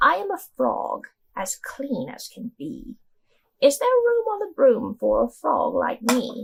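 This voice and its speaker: This is a put-on character voice that sounds female, high-pitched and croaky. It moves at a fairly slow pace. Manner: polite, cheerful.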